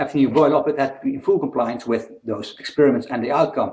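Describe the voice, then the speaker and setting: This man talks at a very fast pace. He has a Dutch accent. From Netherlands. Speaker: independent researcher, video blogger. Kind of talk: casual video talk explaining a theory.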